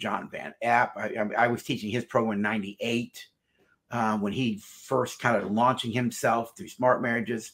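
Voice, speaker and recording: A man with an unremarkable speaking voice talks at a moderate pace and medium pitch. His intonation is fairly even, and the background is quiet. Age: 60s. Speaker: marriage counselor and psychologist. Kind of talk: interview. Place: office.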